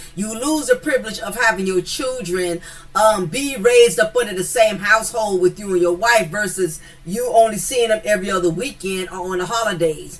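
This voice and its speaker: With an American accent, a woman speaks fairly quickly in an animated tone, her pitch varying in an ordinary way over noticeable background noise. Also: medium pitch for a woman. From US South. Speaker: commentary YouTuber. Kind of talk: casual commentary monologue. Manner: animated, with repeated fillers.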